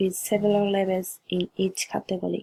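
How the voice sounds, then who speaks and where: In a Japanese accent, a woman speaks at a fairly slow pace and medium pitch, somewhat breathy, with a dark, mellow tone, monotone, flat intonation and a dry, close sound with no echo. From Japan, Yamaguchi Prefecture. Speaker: student. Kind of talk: class presentation.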